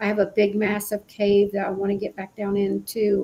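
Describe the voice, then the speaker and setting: With an Appalachian accent, a woman talks at a moderate pace and medium pitch over noticeable background noise. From West Virginia. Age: 60s. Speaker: paranormal show host. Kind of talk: casual chat. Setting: live stream.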